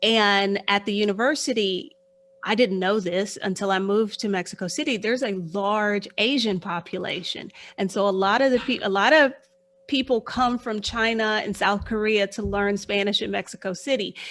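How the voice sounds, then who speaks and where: A woman speaks with an American accent in a plain, everyday voice at medium pitch. Her pace is moderate, her pitch variation ordinary, and the recording very clean with a silent background. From Texas, Houston. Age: 50s. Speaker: financial life coach. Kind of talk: interview.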